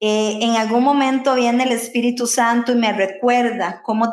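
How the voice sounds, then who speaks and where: A woman's fairly high voice, fairly slow and monotone, flat in intonation. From Costa Rica. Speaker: podcast co-host. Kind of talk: casual chat.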